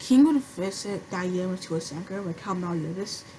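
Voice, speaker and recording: Lively intonation and a moderate pace come through over noticeable background noise. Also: woman. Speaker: anime commentary creator. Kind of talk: casual talk to camera. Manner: stuttering, hesitant.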